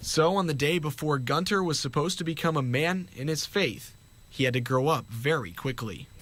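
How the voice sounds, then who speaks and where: The man has an ordinary speaking voice, set fairly high in pitch. He keeps a moderate pace, and his pitch varies an ordinary amount. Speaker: TV news reporter. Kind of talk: TV news report narration.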